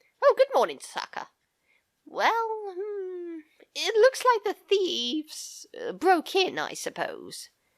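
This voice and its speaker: A woman puts on a character voice at an extremely high pitch, speaking at a fairly slow pace in a very clean recording with a silent background. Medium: solo performance. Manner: sleepy, halting.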